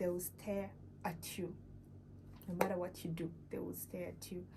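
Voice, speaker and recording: A woman talks at a moderate pace. Audible room echo and noticeable background noise are present. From Uganda. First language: not English. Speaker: vlogger. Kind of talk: casual vlog talk. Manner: halting, many fillers.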